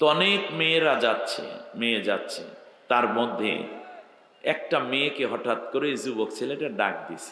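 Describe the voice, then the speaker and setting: A man's speech is heard with noticeable background noise and audible room echo around it. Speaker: Islamic preacher. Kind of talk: sermon. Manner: speaking softly, not loudly.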